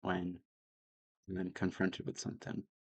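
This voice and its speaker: Monotone, flat intonation from a man. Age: 20s. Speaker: vlogger. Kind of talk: personal vlog monologue. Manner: hesitant, filler-heavy.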